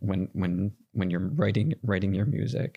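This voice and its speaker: A fairly low-pitched man with a dark, mellow tone, at a fairly slow pace, on a very clean recording with a silent background. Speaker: podcast host. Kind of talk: interview question.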